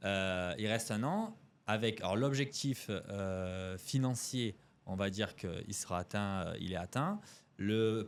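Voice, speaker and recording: A man talks fairly slowly with ordinary pitch variation. The background is silent and the recording very clean. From Marseille, southern France. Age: 30s. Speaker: e-commerce entrepreneur. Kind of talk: podcast interview. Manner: hesitant, many fillers.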